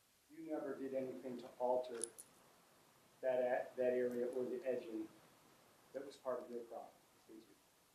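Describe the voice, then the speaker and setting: With a dark, mellow tone and fairly even intonation, a man speaks at a fairly quick pace with long, frequent pauses, big swings in loudness and audible room echo. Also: medium pitch for a man. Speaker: attorney. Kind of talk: courtroom cross-examination. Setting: courtroom. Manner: soft-spoken; halting.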